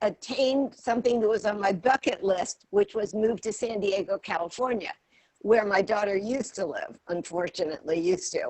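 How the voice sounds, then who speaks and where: Speaking fairly slowly, a woman talks in an American accent. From Virginia, near Washington DC. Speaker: former realtor. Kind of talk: self-introduction. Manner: halting.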